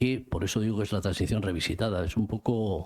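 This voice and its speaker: Here a man talks at a moderate pace, his pitch fairly low with ordinary variation. His tone is dark and mellow. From Spain, Vitoria (Basque Country). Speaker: book author. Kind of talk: book presentation talk. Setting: cultural centre event with audience. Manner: halting, many repetitions.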